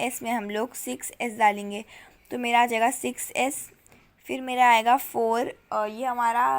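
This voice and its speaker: A woman speaks in a high pitch. The recording is very clean, with a silent background. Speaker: online teacher. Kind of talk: lecture. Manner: casual, conversational.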